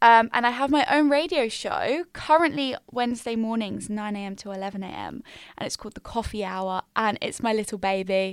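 On a very clean recording with a silent background, a woman with an English accent speaks at a fairly high pitch and a fairly quick pace. Her loudness swings widely. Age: 20s. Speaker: podcast host, university student. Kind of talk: casual monologue. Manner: chatty, filler-heavy; stumbling over words.

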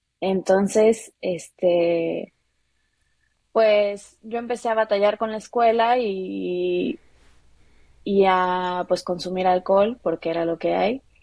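This woman talks at a very slow pace in a dark, mellow tone. Her medium pitch stays fairly even. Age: 20s. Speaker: guest with bipolar disorder. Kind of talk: personal testimony.

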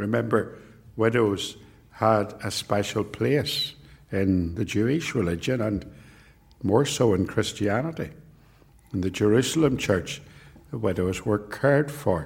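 With audible room echo behind him, a man speaks somewhat breathily at a fairly slow pace and fairly low pitch, showing ordinary pitch variation and long, frequent pauses. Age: 60s. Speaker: preacher. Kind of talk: sermon.

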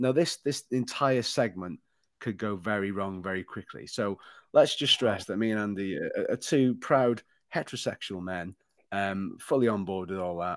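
A man's plain, everyday voice at a moderate pace, dry and close with no echo, over a quiet background. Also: fairly low pitch for a man, ordinary pitch variation. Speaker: podcast host. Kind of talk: casual banter.

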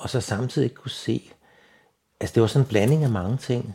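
A somewhat breathy man speaks at a fairly quick pace with ordinary pitch variation. The recording is very clean and the background silent. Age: 70s. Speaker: blind retiree. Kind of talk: interview. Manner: halting, many fillers and repetitions.

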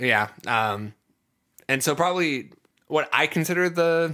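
A man's fairly high, bright and sharp voice on a very clean recording with a silent background. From US Midwest, Ohio. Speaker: podcast host. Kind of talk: casual chat. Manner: energetic.

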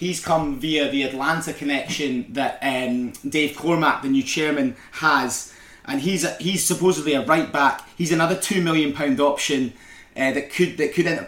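In a Scottish accent, a man talks at a fairly quick pace with a fairly high pitch and ordinary pitch variation. Noticeable background noise can be heard. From Scotland. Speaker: podcast co-host. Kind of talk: casual chat.

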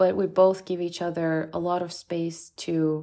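Delivered at a fairly slow pace in a Bulgarian accent, the speech comes on a very clean recording with a silent background. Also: woman. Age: 30s. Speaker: app founder. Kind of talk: interview.

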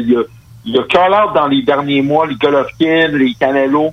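At a very slow pace, a man speaks with fairly high pitch and ordinary pitch variation. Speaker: boxer. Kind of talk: interview.

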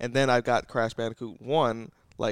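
A man is heard in a dry, close sound with no echo. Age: 30s. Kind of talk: casual chat.

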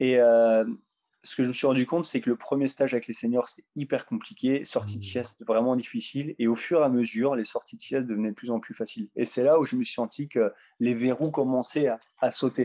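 A dark, mellow male voice at a fairly quick pace, fairly even in intonation, with a dry, close sound and no echo. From northeastern France, Ardennes (Sedan). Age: 30s. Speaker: kayak athlete. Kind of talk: interview conversation. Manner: halting, many fillers.

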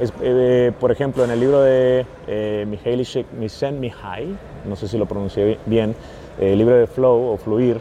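Against noticeable background noise, a man of medium pitch speaks at a fairly slow pace. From US-Mexico border, San Luis, Arizona. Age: 30s. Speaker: football fitness coach. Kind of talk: casual interview. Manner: halting, many fillers and repeats.

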